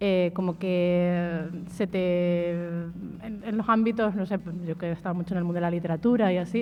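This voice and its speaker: In an Extremaduran accent, a woman speaks at a moderate pace with a fairly low pitch, a dark, mellow tone, and monotone, flat intonation. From Extremadura, Spain. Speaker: singer and writer. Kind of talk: radio interview. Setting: live show with audience.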